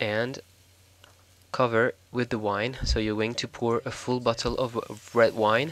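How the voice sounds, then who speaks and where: A man with a French accent speaks at medium pitch and a fairly slow pace. His intonation is monotone and flat. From France. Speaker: cooking show host. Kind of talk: cooking tutorial voiceover. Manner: hesitant, with fillers.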